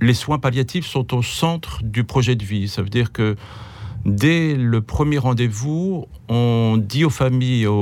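The pace is very slow. The intonation stays lively. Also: man. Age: 60s. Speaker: geriatric doctor. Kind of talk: interview. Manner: halting, repeats words.

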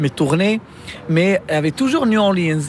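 A man speaks with ordinary pitch variation. There is noticeable background noise. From Morocco. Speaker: musician and music teacher. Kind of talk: interview. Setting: hotel rooftop.

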